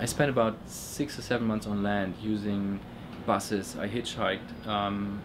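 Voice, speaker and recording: Monotone, flat delivery in a German accent, with audible room echo. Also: man. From Germany. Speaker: illustrator. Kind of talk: interview testimony. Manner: halting, many repetitions and fillers.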